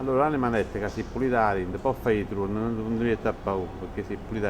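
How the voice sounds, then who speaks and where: Speaking very fast in a Neapolitan accent, a man at medium pitch uses ordinary pitch variation over noticeable background noise. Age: 60s. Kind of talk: casual chat.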